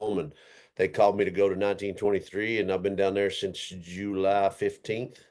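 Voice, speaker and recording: A man with a strong Texas accent talks at a moderate pace in a very deep, low voice. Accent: thick Texas. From Texas (Roby, rural West Texas). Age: 40s. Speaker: cowboy and stunt performer. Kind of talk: casual podcast interview.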